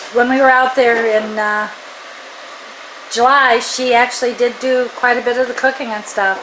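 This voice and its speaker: A woman's high-pitched, fairly slow speech with monotone, flat intonation, long, frequent pauses and noticeable background noise. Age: 60s. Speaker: cooking channel host. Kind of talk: casual cooking demonstration chat. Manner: halting, many fillers.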